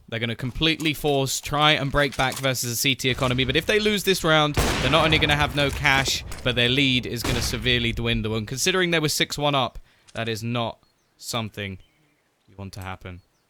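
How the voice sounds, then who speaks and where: Here a man talks at a fairly quick pace with an English accent. His intonation is lively, and his loudness swings a lot. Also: medium pitch for a man. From southern England, near London. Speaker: esports caster. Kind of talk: live commentary. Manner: animated.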